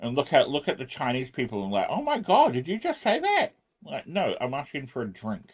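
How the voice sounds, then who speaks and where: At a fairly quick pace, a man talks with a New Zealand accent. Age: 40s. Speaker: programming livestreamer. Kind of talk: casual livestream chat. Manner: animated.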